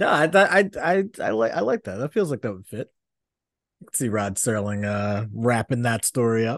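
A man with a medium-pitched voice, an ordinary speaking voice, talks at a moderate pace with lively intonation and big swings in loudness, recorded dry and close with no echo against a quiet background. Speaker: podcast co-host. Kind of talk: casual banter about sports and culture.

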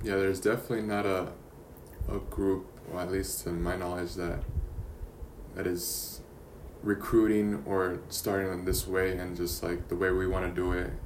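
A man with an American accent and a very deep, low voice talks at a moderate pace with fairly even intonation and long, frequent pauses, amid audible room echo. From Yuma, Arizona. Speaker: podcast host. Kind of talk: casual interview.

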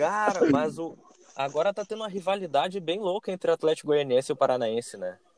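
A man with a high pitch talks at a very fast pace with lively intonation, in a dry, close sound with no echo and noticeable background noise. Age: 20s. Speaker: fan page admin. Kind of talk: casual chat.

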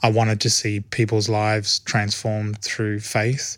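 In a very clean recording with a silent background, a man with an Australian accent and a fairly low pitch talks at a moderate pace with monotone, flat intonation. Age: 30s. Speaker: church film and TV department head. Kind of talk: interview.

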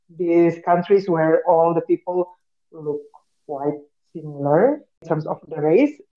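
A woman with an Indonesian accent speaks at a fairly low pitch. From Indonesia, Batak. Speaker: podcast co-host. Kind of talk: casual chat.

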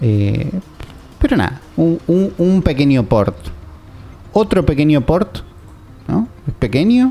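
A man speaks at a very slow pace with long, frequent pauses, very wide pitch swings and very even loudness, over noticeable background noise. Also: fairly high pitch for a man. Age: 30s. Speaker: video game podcast host. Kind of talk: casual chat.

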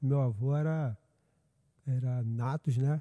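Speaking at a very slow pace, this man shows ordinary pitch variation. The sound is dry and close with no echo, in a very clean recording with a silent background. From Brazil, Niterói (Rio de Janeiro state). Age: 50s. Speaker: pastor. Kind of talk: casual chat.

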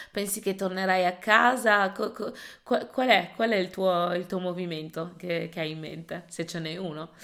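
In a very clean recording with a silent background, a woman speaks at a fairly slow pace with hardly any pauses, using an ordinary speaking voice at medium pitch with ordinary pitch variation. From Italy. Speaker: podcast host. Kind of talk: conversational interview.

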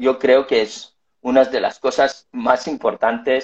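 Very slow in pace, a man speaks at a fairly high pitch with lively intonation. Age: 40s. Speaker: life coach. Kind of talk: interview.

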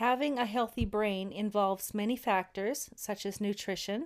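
A woman's medium-pitched voice with ordinary pitch variation at a fairly slow pace, on a very clean recording with a silent background. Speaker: co-host and book author. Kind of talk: book reading followed by discussion. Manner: hesitant, filler-heavy.

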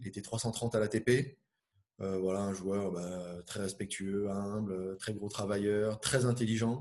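At a very slow pace, a man with a fairly low pitch speaks with fairly even intonation. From Brittany, Finistère. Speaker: tennis brand player manager. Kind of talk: interview. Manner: hesitant, many fillers.

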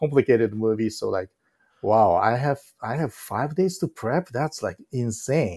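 A man with a Japanese accent speaks at a fairly slow pace in a dark, mellow tone and medium pitch, on a very clean recording with a silent background. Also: lively intonation. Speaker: film director. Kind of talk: interview.

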